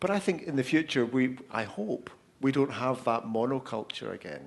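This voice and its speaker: A man's medium-pitched voice with a Scottish accent. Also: ordinary pitch variation, moderate pace. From Scotland. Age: 50s. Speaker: author, speaker and social media consultant. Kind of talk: panel Q&A answers. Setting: live event with audience.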